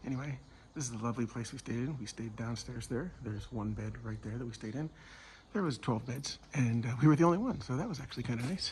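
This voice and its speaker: At a very fast pace, a man with a medium pitch and ordinary pitch variation speaks with vocal fry. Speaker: travel vlogger walking a pilgrimage. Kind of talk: casual vlog narration.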